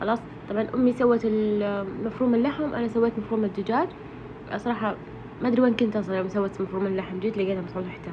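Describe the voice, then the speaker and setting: Amid noticeable background noise, a woman speaks at a fairly high pitch with fairly even intonation. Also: fairly quick pace. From Saudi Arabia, Ha'il. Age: 30s. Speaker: cooking vlogger. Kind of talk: casual vlog narration. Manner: halting, many fillers.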